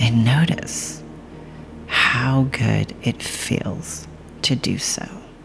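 Over music in the background, a woman speaks at a very slow pace in a very deep, low voice with very wide pitch swings. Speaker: podcast host and meditation guide. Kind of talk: guided meditation. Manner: calm, gentle, slow.

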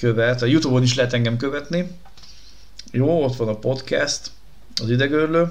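In a room with audible echo, a man speaks at medium pitch and a moderate pace with fairly even intonation. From Budapest, Hungary. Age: 30s. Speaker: podcast host, former radio presenter. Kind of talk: casual chat.

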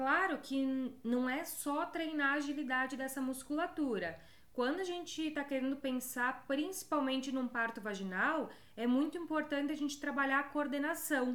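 Speaking in a high pitch with an animated tone, a woman keeps a moderate pace. Her loudness is very even, and her pitch varies in an ordinary way. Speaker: podcast host, pelvic health educator. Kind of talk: guided exercise counting; casual educational talk with guided exercises.

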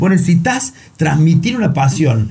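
The man has a fairly high pitch and a dark, mellow tone, talking at a moderate pace. His intonation is lively, and the room echo is audible. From Argentina, Río Cuarto (Córdoba). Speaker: entrepreneur. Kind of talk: interview. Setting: studio.

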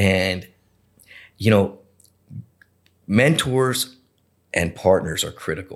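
On a very clean recording with a silent background, a man with an American accent speaks very slowly at a fairly low pitch, with ordinary pitch variation and long, frequent pauses. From South Florida (Boca Raton). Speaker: restaurant entrepreneur. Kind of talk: interview.

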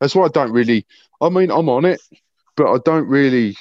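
A man with a British accent, fairly high in pitch, with lively intonation. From Britain. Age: 50s. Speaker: heavy metal guitarist. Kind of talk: interview.

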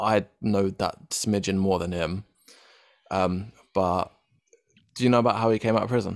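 In an English accent, a man speaks at a moderate pace with fairly low pitch. His intonation is fairly even, broken by long, frequent pauses. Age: 20s. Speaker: podcast host. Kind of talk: casual chat.

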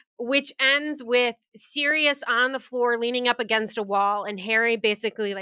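On a very clean recording with a silent background and a dry, close sound with no echo, a woman speaks in an animated tone at a fairly high pitch with ordinary pitch variation. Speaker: podcast co-host. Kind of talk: casual chat. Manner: animated, jokey.

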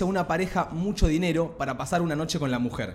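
Speaking very fast in a Rioplatense accent, a man uses a high pitch with ordinary pitch variation. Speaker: podcast co-host. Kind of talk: casual chat.

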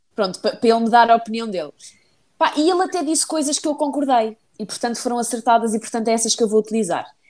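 Speaking at a very fast pace, a woman uses lively intonation in a fairly high pitch. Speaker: podcast co-host. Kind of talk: casual chat.

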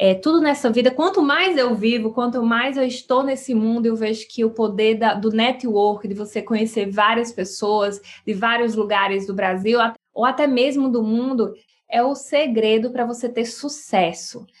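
Speaking at a moderate pace, a woman has an unremarkable speaking voice, fairly high in pitch, with ordinary pitch variation. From Brazilian Northeast, sertão of Paraíba. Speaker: podcast host, entrepreneurship coach. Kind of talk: solo podcast monologue. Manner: warm, conversational.

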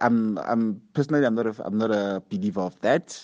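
An unremarkable speaking voice, this man's sits at medium pitch with ordinary pitch variation and a moderate pace. The sound is dry and close, with no echo. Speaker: panelist. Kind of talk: casual chat.

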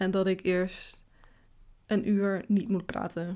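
A woman with a dark, mellow tone and medium pitch speaks with fairly even intonation on a very clean recording with a silent background. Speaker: podcast host. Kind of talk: casual monologue. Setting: home office.

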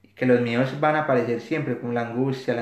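Audible room echo surrounds a fairly quick voice with a Paisa Colombian accent. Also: man. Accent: Colombian paisa Spanish (voseo). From Colombia, Antioquia (Caldas, near Medellín). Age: 30s. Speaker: psychologist, recent immigrant. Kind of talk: podcast interview.

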